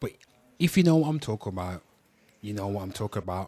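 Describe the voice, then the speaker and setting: A man with a Birmingham accent, fairly low pitch and ordinary pitch variation. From Birmingham, England. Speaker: livestream host. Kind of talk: casual live stream talk.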